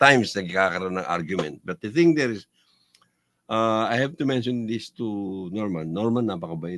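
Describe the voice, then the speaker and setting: Lively in intonation, a man talks at a moderate pace with a fairly low pitch. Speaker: fraternity member. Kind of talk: casual chat. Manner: loud.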